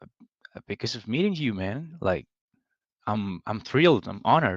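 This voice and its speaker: Against a quiet background, a man with a Spanish accent speaks in a fairly low pitch with very wide pitch swings, in a dry, close sound with no echo. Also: fairly slow pace. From Argentina. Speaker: coaching client, gamer. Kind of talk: casual chat. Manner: halting.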